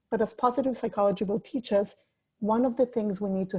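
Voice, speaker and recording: A woman's voice comes through dark, mellow and somewhat breathy. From Mexico City, Mexico. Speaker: life coach. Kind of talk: talk. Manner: fast.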